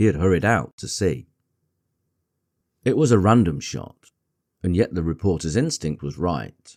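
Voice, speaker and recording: This man has a very deep, low pitch and a dark, mellow tone. Vocal fry runs through his voice. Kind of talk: audiobook reading. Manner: soft-spoken, gentle.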